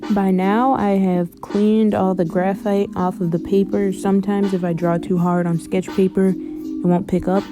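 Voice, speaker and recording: A woman speaks at a moderate pace and medium pitch, her loudness very even and her pauses hardly any, with music in the background. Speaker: art tutorial creator. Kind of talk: tutorial voice-over. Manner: monotone.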